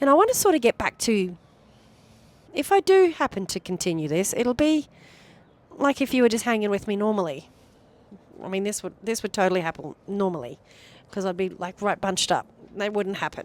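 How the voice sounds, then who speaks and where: Recorded dry and close with no echo, a woman with a medium pitch talks fairly quickly, making very wide pitch swings and taking long, frequent pauses. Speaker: vlogger. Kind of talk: personal vlog monologue. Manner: fast.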